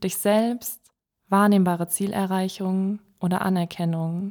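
A woman's calm, soothing voice at medium pitch, monotone and flat, very slow, on a very clean recording with a silent background. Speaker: meditation guide. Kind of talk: guided meditation. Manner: calm, slow, soothing; gentle, clear instructions.

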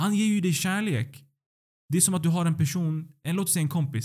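A man's somewhat breathy voice, dark and mellow in tone, at a very fast pace. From Sweden. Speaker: doctoral student in Islamic philosophy. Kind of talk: religious teaching conversation.

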